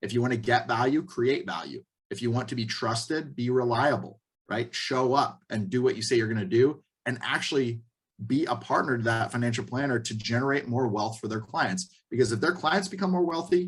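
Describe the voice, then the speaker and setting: A somewhat breathy man's voice at a medium pitch, fairly quick in pace with lively intonation. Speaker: mortgage industry trainer. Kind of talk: webinar training talk. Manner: fast.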